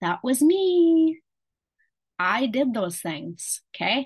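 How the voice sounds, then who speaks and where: This woman's voice has a warm tone and is somewhat breathy. The background is quiet. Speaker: health coach. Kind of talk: coaching talk to a group. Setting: video call. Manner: warm, encouraging.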